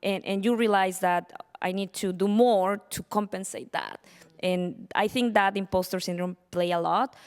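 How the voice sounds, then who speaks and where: Someone with a Spanish accent speaks at a moderate pace with fairly even intonation on a very clean recording with a silent background. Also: woman. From Mexico. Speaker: panelist, tech business professional. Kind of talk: panel discussion. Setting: stage with audience.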